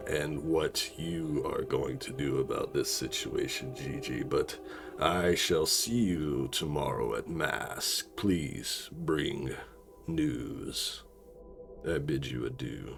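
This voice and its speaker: A raspy, put-on character voice from a man, delivered at a very slow pace against clear background noise. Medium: actual play. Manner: commanding, businesslike.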